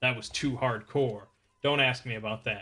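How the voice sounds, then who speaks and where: Putting on a character voice, a man sounds gruff and raspy at a medium pitch, with fairly even intonation and a moderate pace. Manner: comically gruff.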